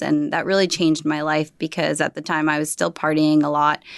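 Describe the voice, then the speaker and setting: In an American accent, a woman speaks fairly low in pitch with monotone, flat intonation against a quiet background. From New Jersey, US. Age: 30s. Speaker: life coach and yoga instructor. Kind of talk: casual interview.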